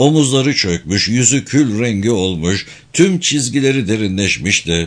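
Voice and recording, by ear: With lively intonation, the speaker reads aloud in a natural voice.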